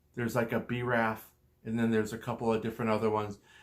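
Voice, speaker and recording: Medium pitch from a male speaker, captured very cleanly with a silent background. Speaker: cancer patient sharing his story. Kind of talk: personal testimony with slides. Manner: halting, repeats words.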